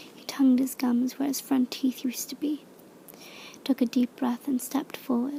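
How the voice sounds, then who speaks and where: Whispering and soft-spoken, the voice moves at a moderate pace. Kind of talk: audiobook-style reading of a fantasy novel in ASMR style. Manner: soft-spoken, whispered.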